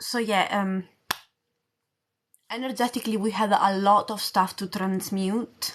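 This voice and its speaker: Someone with an Italian accent speaks fairly slowly in a flat monotone, with long, frequent pauses. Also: woman, medium pitch for a woman. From Italy. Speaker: spiritual coach. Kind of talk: livestream chat. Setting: livestream. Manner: casual.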